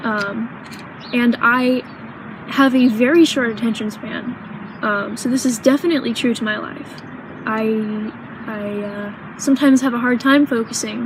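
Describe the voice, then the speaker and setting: A woman with an American accent talks at a moderate pace with long, frequent pauses, her fairly high voice fairly even in intonation, against noticeable background noise. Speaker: vlogger. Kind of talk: personal vlog. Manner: halting, many pauses.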